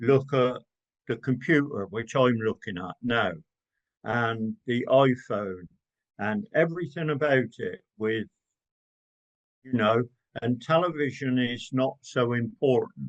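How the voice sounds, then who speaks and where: A man with an English accent talks at a medium pitch, with ordinary pitch variation. He speaks at a very slow pace with long, frequent pauses. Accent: English accent, noted by host. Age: 70s. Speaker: gardener and social media creator. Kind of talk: interview conversation.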